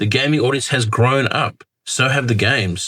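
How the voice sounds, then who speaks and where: Speaking in an Australian accent, the man's voice sits at a medium pitch. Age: 50s. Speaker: gaming commentator. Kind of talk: casual talk to camera.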